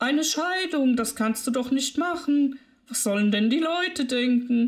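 Using a put-on character voice, a woman speaks at a moderate pace in a high pitch with ordinary pitch variation. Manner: scolding, scandalized.

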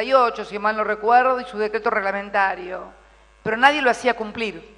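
A woman with an Argentine accent, moderate pace and ordinary pitch variation. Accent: Argentine Spanish (Rioplatense). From Argentina. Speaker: president of Argentina, former legislator. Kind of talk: political speech. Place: hall. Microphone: podium.

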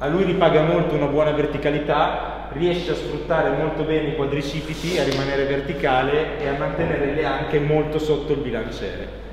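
Over light background noise and strong room echo, a man talks at a fairly quick pace in a monotone, flat intonation. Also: hardly any pauses. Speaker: strength coach. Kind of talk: tutorial. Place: gym.

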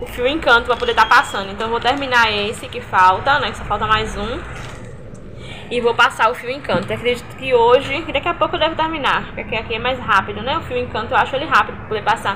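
Over noticeable background noise, a woman with a high voice talks very fast, her loudness swinging widely. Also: ordinary pitch variation. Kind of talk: casual vlog chat. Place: workshop. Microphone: phone near.

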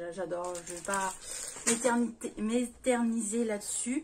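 A woman's voice with ordinary pitch variation, over light background noise. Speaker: haul vlogger. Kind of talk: casual vlog chat. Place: home room. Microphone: phone near.

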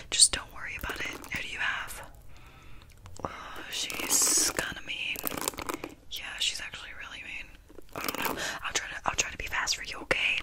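Soft-spoken, a woman talks at a moderate pace with long, frequent pauses. Loud background noise is present. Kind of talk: soft roleplay chat. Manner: soft, intimate ASMR murmur.

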